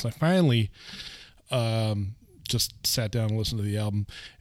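In an American accent, a man uses a normal speaking voice at a medium pitch, speaking at a fairly quick pace with fairly even intonation. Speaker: radio host and bartender. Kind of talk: casual chat about music.

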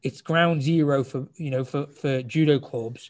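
A man with a British accent talks in a fairly high, somewhat breathy voice with ordinary pitch variation. The recording is very clean, with a silent background. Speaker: judo club marketing specialist. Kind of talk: casual interview. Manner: fast.

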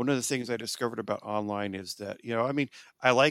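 A man with an American accent speaks at medium pitch with ordinary pitch variation, an ordinary speaking voice. The sound is dry and close, with no echo. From Southern California, Orange County. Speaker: history professor. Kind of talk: interview.

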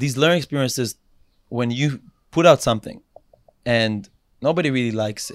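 A man with an Israeli accent, ordinary pitch variation, big swings in loudness and long, frequent pauses. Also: medium pitch for a man, fairly quick pace. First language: Hebrew. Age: 20s. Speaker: social media influencer. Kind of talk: casual interview chat. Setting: studio.

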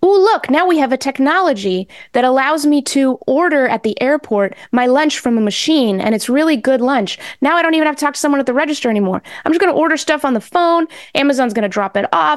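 A woman with an American accent talks at a very fast pace and high pitch, with very even loudness. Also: lively intonation. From New England, US (born in Mexico). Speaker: journalist and podcast host. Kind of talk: interview.

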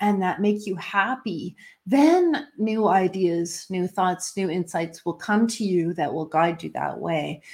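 A woman with a Canadian accent, somewhat breathy, with lively intonation and a fairly slow pace, on a very clean recording with a silent background. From Canada. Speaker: intuitive coach. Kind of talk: casual interview chat.

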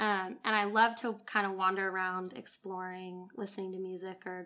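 At a moderate pace, a woman speaks in a monotone at medium pitch with a bright, sharp tone, on a very clean recording with a silent background. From Southern California. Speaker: campus ministry speaker. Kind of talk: sermon. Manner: casual, with frequent fillers.

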